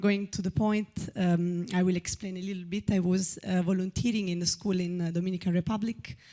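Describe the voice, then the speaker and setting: A woman speaks in an Italian accent with a dark, mellow tone. Her intonation is monotone and flat. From Italy. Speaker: audience member asking a question. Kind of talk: audience question at a public talk. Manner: halting, many fillers.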